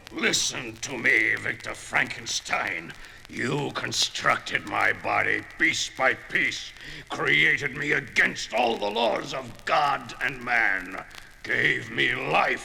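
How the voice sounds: Over clear background noise, a man puts on a character voice at a medium pitch and a very slow pace.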